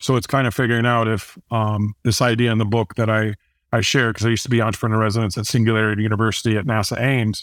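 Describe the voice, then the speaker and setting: On a very clean recording with a silent background, a man with a Midwestern American accent speaks at a very fast pace and medium pitch. His intonation is monotone and flat, and his loudness very even. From Indiana, US Midwest. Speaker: author and business adviser. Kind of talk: interview conversation.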